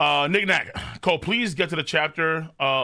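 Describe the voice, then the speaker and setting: Shouting at a moderate pace, a man uses an animated tone with ordinary pitch variation. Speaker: anime streamer. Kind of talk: live stream reaction chat. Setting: live stream. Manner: animated, yells a lot.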